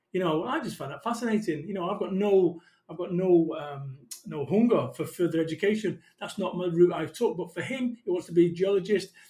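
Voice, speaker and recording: Dark and mellow in tone, the voice moves at a fairly quick pace with ordinary pitch variation and big swings in loudness. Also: man, high pitch for a man. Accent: Mancunian. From northern England, Salford, Manchester. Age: 40s. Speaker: motivational business speaker. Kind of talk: podcast interview. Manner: animated.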